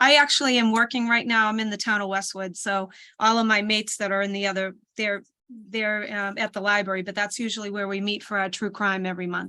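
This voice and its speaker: In a very clean recording with a silent background, a woman with a Boston accent talks very fast at a medium pitch, her tone bright and sharp and her intonation monotone and flat. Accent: Boston city. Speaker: book club host. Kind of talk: casual chat.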